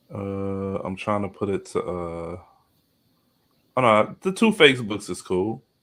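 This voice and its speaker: A man talks at a fairly slow pace, his pitch varying in an ordinary way. Long pauses come often. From Chicago, west side. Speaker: podcaster and content creator. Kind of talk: casual chat. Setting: live stream.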